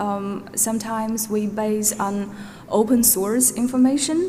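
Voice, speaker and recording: The speech comes at a fairly slow pace with ordinary pitch variation, amid noticeable background noise and audible room echo. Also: woman. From Norway. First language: Uyghur. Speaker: witness, database researcher. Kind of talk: witness testimony. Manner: hesitant, many fillers.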